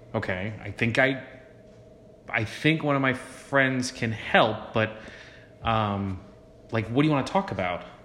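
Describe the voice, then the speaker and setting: A man talks fairly slowly at a medium pitch, with ordinary pitch variation and long, frequent pauses. The room echo is audible. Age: 40s. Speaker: podcast co-host, father. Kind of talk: casual chat.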